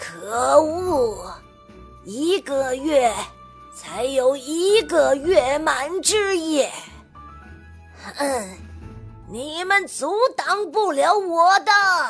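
A woman speaks in a put-on character voice, high-pitched and swinging very widely in pitch, at a very slow pace. She leaves long, frequent pauses while clear music plays in the background. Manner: angry; speaking through gritted teeth.

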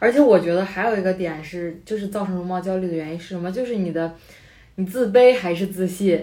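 A woman at medium pitch in a dark, mellow tone, with a fairly quick pace, ordinary pitch variation and big swings in loudness. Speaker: podcast co-host. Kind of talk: casual chat.

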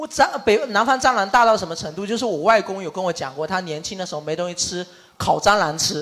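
A man in a southern Chinese accent talks at a very fast pace with a high pitch and lively intonation, with noticeable background noise behind him. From Shaxian, Sanming, Fujian, southern China. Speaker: podcast host. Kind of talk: casual group chat before live audience.

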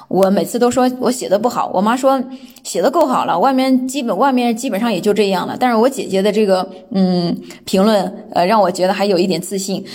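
The speech comes at a fairly quick pace with ordinary pitch variation. Audible room echo surrounds it. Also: woman. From mainland China. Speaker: guest sharing personal experience. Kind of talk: personal talk, self-recorded monologue. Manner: hesitant, many filler sounds.

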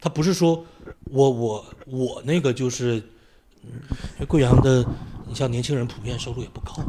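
A man at a moderate pace, with long, frequent pauses over noticeable background noise. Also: medium pitch for a man, ordinary pitch variation, big swings in loudness. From Northeast China, Shenyang (Tiexi district). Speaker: university lecturer and poet. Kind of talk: casual conversation.

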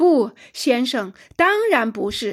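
A woman's put-on character voice, fairly high-pitched with big pitch swings and a slightly husky edge, slow-paced, on a very clean recording with a silent background

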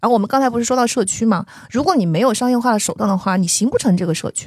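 Her fairly high-pitched voice, that of a woman, carries lively intonation. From southern China. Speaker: podcast host. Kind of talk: interview conversation.

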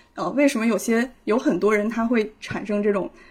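Somewhat breathy and fairly high-pitched, a woman talks at a moderate pace with ordinary pitch variation. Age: 30s. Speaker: psychological counselor. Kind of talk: casual discussion. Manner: hesitant, many fillers.

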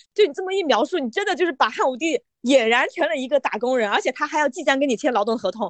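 A loud, very fast voice with very wide pitch swings and a dry, close sound with no echo. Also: woman, high pitch for a woman. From Yunnan, Mangshi. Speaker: podcast co-host and editor. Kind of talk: casual chat. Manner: loud laughter.

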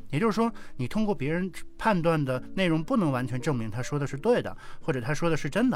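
A man at a medium pitch with very wide pitch swings, fairly quick pace, audible room echo and music in the background. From Northeast China. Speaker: visually impaired board game player. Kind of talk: casual chat.

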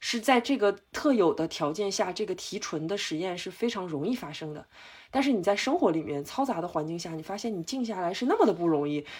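An ordinary speaking voice from a woman at medium pitch, a fairly quick pace, on a very clean recording with a silent background. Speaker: meditation retreat participant. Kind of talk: casual chat.

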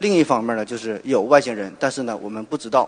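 The pace is very fast. A man is talking. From Northeast China, Shenyang. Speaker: surgeon and podcaster. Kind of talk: popular science talk. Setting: stage with audience.

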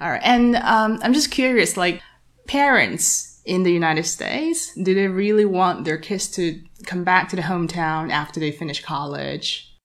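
With a Chinese accent, a woman speaks at a medium pitch with lively intonation. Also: moderate pace. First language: Mandarin Chinese. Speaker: English learning podcast host. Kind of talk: casual interview.

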